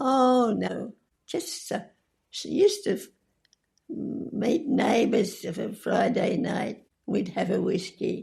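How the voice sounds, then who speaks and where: At a very slow pace, a woman talks with long, frequent pauses. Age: 80s+. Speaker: centenarian interview guest. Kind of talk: interview answer.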